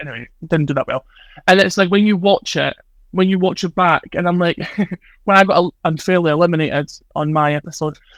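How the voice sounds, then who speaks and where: A man's high-pitched voice at a very fast pace, ordinary in pitch variation, dry and close with no echo. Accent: Scottish. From Scotland. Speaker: social media personality. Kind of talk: casual chat. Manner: rambling, fast.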